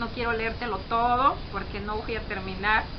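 A woman's high-pitched voice over noticeable background noise. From Mexico. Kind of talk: religious testimony. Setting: self-recorded video. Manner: stuttering. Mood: earnest, fervent. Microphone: phone near.

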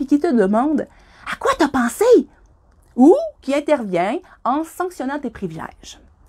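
A woman's high voice, fairly slow, with very wide pitch swings, over a quiet background. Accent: Quebec. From Quebec. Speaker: skydiving instructor. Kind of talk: reading aloud. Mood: warm, encouraging. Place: home room. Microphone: phone near.

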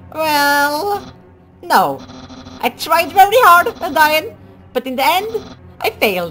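A woman's put-on character voice, high-pitched and slow, with a bright, sharp tone, big pitch swings and faint music in the background

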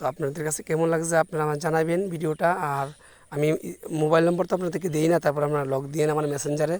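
A man talks with a high pitch. His intonation stays fairly even. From Bangladesh, Brahmanbaria (Kasba). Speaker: small business owner, vlogger. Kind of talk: casual vlog monologue.

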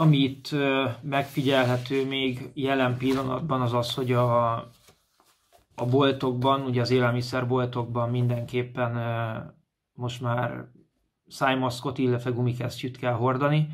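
The speech moves at a very slow pace with monotone, flat intonation. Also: man, medium pitch for a man. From Hungary, Komló, Baranya county; Hungary. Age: 30s. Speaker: amateur footballer reporting from abroad. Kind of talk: casual video report. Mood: calm, a little wistful. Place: home room. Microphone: phone near.

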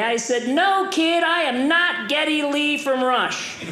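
Recorded with audible room echo and light background noise, a man speaks fairly slowly at an extremely high pitch. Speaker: stand-up comedian. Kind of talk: stand-up comedy routine. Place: stage. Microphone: handheld.

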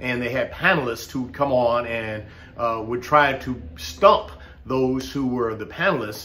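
A man with an American accent speaks at a fairly slow pace. His intonation is lively. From United States. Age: 60s. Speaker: political commentator vlogger. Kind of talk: opinion monologue. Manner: impassioned. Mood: earnest, frustrated. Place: home room. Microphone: webcam.

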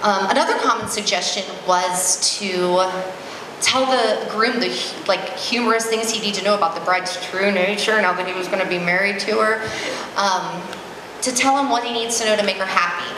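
A woman at a moderate pace with ordinary pitch variation, with audible room echo and noticeable background noise. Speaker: maid of honor. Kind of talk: wedding reception toast, personal and sentimental. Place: hall. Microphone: handheld.

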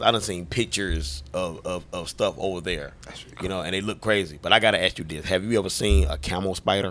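A man's very deep, low pitch with a bright, sharp tone, ordinary pitch variation and a very fast pace. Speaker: podcast host. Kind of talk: casual chat. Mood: curious, laid-back. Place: studio. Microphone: studio mic.

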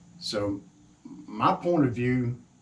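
Somewhat breathy male speech. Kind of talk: casual talk to camera. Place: workshop. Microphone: camera far.

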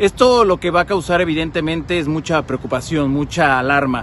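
Over light background noise, a man with a fairly high pitch talks at a fairly quick pace with ordinary pitch variation, the sound dry with no echo. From Mexico, Jalisco (Tepatitlán); Jalisco, Mexico. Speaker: TV news correspondent. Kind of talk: public service message. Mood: earnest, concerned. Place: street. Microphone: phone near.

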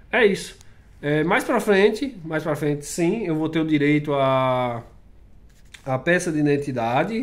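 Pitched fairly high for a man, his voice carries lively intonation and is an ordinary speaking voice. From Brazil. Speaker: vlogger. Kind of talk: casual vlog talk to camera. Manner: casual, conversational. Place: home room. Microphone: webcam.

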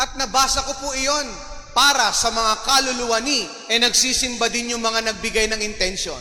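A man speaks in a raised, projected voice at an extremely high pitch, his intonation fairly even. The pace is moderate, with noticeable background noise. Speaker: parish priest. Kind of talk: sermon. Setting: church with congregation. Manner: humorous, warm, interactive.

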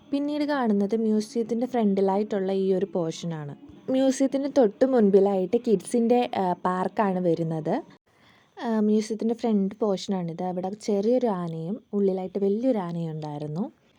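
Music plays in the background behind a voice with lively intonation. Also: woman, medium pitch for a woman. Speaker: travel vlogger. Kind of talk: vlog narration.

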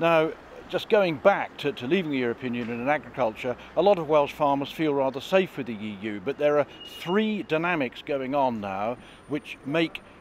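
A plain, everyday voice with lively intonation comes at a moderate pace, the sound dry with no echo and light background noise behind it. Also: man. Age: 60s. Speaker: farmer and politician. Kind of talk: political interview. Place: street. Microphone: handheld.

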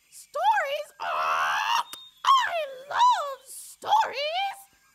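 A cartoonish character voice sounds out at an extremely high pitch. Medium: puppet. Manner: exuberant, playful.

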